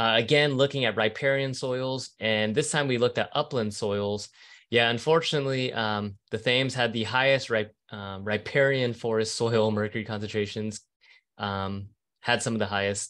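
A man speaks at a medium tempo with a quiet background behind him. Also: fairly even intonation. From California. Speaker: professor. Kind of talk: lecture. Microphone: video call.

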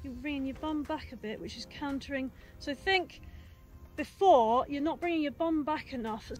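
A woman speaks at a high pitch and a moderate pace, with ordinary pitch variation. The sound is dry with no echo, and faint music plays in the background. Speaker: mountain bike coach. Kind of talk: tutorial. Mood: upbeat, encouraging, laughing. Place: open country.

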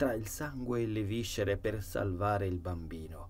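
A man's fairly low, somewhat breathy voice carries a solemn, menacing tone at a moderate pace with fairly even intonation. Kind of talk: horror audiobook narration. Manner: first-person dark storytelling, solemn and brooding, with an ominous, menacing tone.

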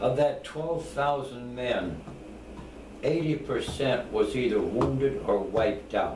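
Over noticeable background noise, a man speaks in an American accent at a very slow pace. His loudness stays very even. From United States. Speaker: war veteran. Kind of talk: interview answer. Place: home room. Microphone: camera far.

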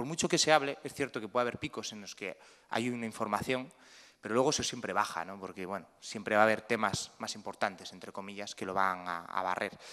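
Bright and sharp in tone, a man talks very fast at a fairly low pitch with ordinary pitch variation. His loudness swings widely. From Spain, Cantabria. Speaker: photojournalist. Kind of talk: panel talk. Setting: museum talk with audience. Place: hall. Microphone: podium.

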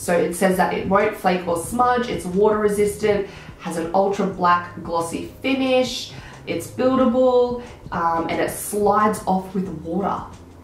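A woman speaks at a fairly slow pace with ordinary pitch variation and few pauses. Audible room echo surrounds her voice. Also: medium pitch for a woman.

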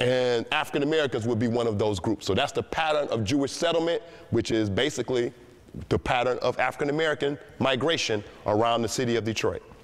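A man talks at a very fast pace. His loudness stays very even. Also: ordinary pitch variation. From Detroit, Michigan. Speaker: historian and tour guide. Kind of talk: history lecture to high school students. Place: hall.

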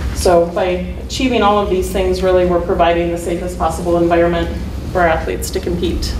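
A woman talks at a very fast pace over noticeable background noise. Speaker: athletic trainer presenting an award. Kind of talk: presentation to a board. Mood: pleased, a bit nervous. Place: meeting room. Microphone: camera far.

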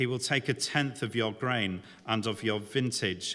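The man's tone is bright and sharp. He keeps a moderate pace and fairly even intonation. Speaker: preacher. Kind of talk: scripture reading. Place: church. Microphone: podium.

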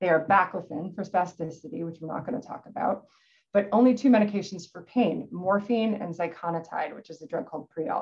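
A woman's somewhat breathy voice at a fairly quick pace, with big swings in loudness. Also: medium pitch for a woman, ordinary pitch variation. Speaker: neurosurgeon giving a lecture. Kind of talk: technical medical lecture. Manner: fast talker.

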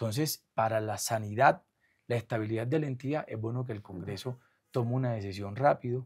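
On a very clean recording with a silent background, a man of medium pitch speaks at a fairly quick pace, somewhat breathy, with fairly even intonation. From Colombia, Caribbean coast (Atlántico). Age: 40s. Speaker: government comptroller. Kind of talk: interview.

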